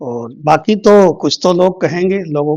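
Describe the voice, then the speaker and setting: The sound of a man's voice is dry and close, with no echo. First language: Bhojpuri (speaking Hindi). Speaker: politician. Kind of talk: interview.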